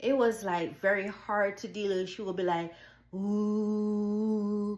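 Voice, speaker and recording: Audible room echo surrounds a woman speaking at a very slow pace in a Jamaican accent with monotone, flat intonation. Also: medium pitch for a woman. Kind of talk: personal testimony.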